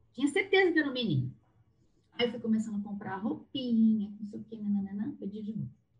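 Speaking very fast, a woman uses a fairly high, somewhat breathy voice with lively intonation and big swings in loudness. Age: 40s. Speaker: therapist. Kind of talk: casual chat.

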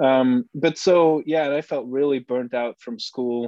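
A man with a dark, mellow tone and medium pitch speaks at a fairly slow pace with fairly even intonation, the sound dry and close with no echo. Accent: Flemish. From Belgium, Bruges. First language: Dutch. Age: 30s. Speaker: Bitcoin researcher and writer. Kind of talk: casual interview chat. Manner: halting, many repeated words.

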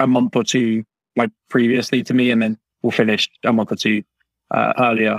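Speaking with a British accent, the man keeps a moderate pace. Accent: British, mistaken for Australian in Canada. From UK. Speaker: university student. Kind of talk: casual interview. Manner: halting, many fillers.

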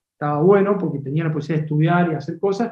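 Here a man talks with a high pitch. His intonation is fairly even. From Córdoba, Argentina. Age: 50s. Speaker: agribusiness director. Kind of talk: interview.

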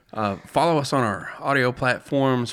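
A man talks at a moderate pace and medium pitch, his tone bright and sharp. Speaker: podcast co-host. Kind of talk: casual conversational interview.

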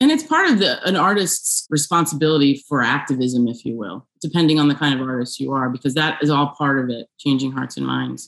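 Speech in an American accent runs at a fairly quick pace with hardly any pauses. Pitch variation is ordinary. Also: woman, very deep, low pitch for a woman. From New York area. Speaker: filmmaker. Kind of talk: interview.

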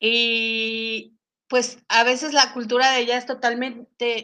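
Against a quiet background, a woman speaks at a fairly high pitch in a bright, sharp tone. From Mexico. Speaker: psychologist and English teacher. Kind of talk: panel discussion.

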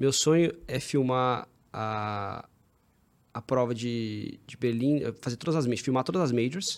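With ordinary pitch variation, a man holds a medium pitch on a very clean recording with a silent background. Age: 30s. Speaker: running content filmmaker. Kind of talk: casual chat.

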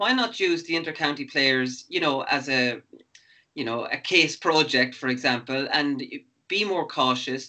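A man with an Irish midlands accent has a bright, sharp tone at a fairly high pitch. He speaks at a moderate pace with ordinary pitch variation. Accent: Irish, Laois (midlands). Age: 40s. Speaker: sports podcast host, former footballer. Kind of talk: casual interview.

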